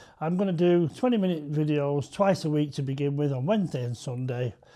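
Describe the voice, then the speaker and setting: Over a very clean, silent background, a man with an unremarkable speaking voice talks fairly quickly at a fairly high pitch with ordinary variation. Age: 60s. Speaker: vlogger giving life tips. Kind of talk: product demonstration. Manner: casual, with frequent fillers.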